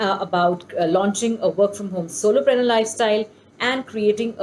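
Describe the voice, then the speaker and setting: Speaking at a fairly quick pace, a woman with a Bengali accent uses ordinary pitch variation. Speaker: homeschooling YouTuber. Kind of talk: casual vlog tutorial. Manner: hesitant, many fillers.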